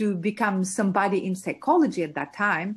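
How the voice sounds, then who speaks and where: A woman speaks with an Albanian accent in a medium pitch. Her voice is somewhat breathy against a quiet background. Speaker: entrepreneur and mentor. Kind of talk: interview. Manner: hesitant with fillers.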